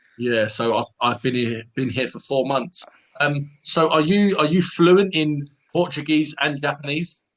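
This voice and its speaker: Here a man speaks with a London accent at a fairly slow pace. His pitch is fairly high, with ordinary variation. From London, England. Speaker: English tutor. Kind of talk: casual chat.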